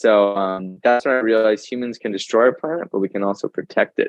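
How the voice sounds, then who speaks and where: A man talks at a fairly quick pace with ordinary pitch variation, music playing in the background. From US West Coast, Carlsbad, California. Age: 20s. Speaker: high school horticulture teacher and environmental influencer. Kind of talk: podcast interview.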